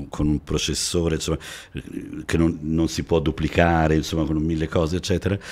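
The man's voice is very deep and low in pitch. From Italy, Milan-Sicilian family, born in Florence. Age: 60s. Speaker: TV shopping salesman. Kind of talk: podcast interview. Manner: hesitant, with fillers. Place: studio. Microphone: studio mic.

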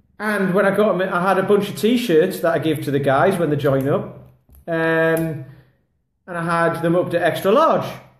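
Audible room echo surrounds a man with a high pitch who speaks at a moderate pace. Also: ordinary pitch variation. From England. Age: 40s. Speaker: kettlebell fitness coach; kettlebell coach. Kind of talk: casual vlog monologue. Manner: rambling, filler-heavy. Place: home room. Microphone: phone near.

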